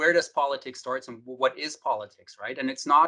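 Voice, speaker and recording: A man with a German accent speaks at a fairly high pitch. His tone is bright and sharp. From Germany. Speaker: welding research administrator. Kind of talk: podcast interview. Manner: halting, many repetitions.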